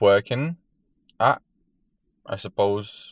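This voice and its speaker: A fairly low-pitched male voice with a non-native accent, dry and close with no echo. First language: not English. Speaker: fitness vlogger. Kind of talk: casual vlog.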